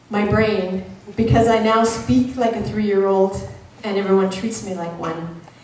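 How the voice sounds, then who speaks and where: There is audible room echo and noticeable background noise as a woman speaks at a moderate pace. Her pitch is medium with ordinary variation. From Canada. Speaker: motivational speaker. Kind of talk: motivational speech. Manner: animated.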